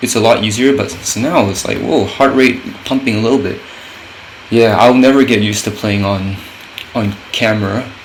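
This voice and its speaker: A man talks with ordinary pitch variation and long, frequent pauses. Audible room echo and noticeable background noise surround him. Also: medium pitch for a man, moderate pace. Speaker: gaming content creator. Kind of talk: gameplay commentary. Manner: halting, many fillers and restarts.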